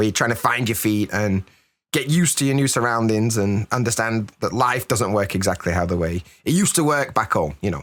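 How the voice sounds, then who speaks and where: Speaking at a fairly quick pace, a man with a medium pitch uses lively intonation in a very clean recording with a silent background. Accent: British. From Britain. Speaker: podcast host. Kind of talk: podcast interview.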